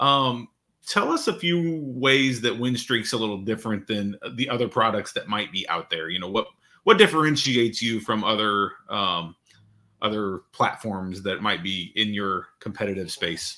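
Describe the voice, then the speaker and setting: A bright, sharp voice with an American accent speaks at a moderate pace with ordinary pitch variation. The background is quiet. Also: man. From Illinois, US Midwest. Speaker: podcast host. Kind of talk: interview. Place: home room.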